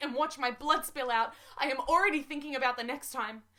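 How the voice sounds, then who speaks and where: Speaking very fast in a raised, projected voice, a woman sounds high-pitched with a bright, sharp tone. Her intonation stays fairly even. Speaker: spoken word poet. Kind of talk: spoken word poetry. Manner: earnest, emotional.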